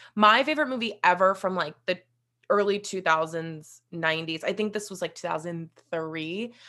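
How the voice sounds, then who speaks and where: A woman with an American accent talks at a moderate pace with ordinary pitch variation and a bright, sharp tone. The recording is very clean, with a silent background. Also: medium pitch for a woman. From West Virginia. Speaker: reality TV producer and podcast host. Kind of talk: casual chat.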